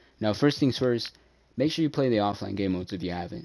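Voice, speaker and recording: Fairly low in pitch with a dark, mellow tone, a man speaks at a very fast pace on a very clean recording with a silent background. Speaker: gaming YouTuber. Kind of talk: tutorial. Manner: casual.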